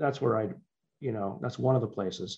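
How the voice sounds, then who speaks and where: This man has a plain, everyday voice with lively intonation. His pace is fairly quick. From born in Liverpool, England, moved to US as child. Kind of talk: interview.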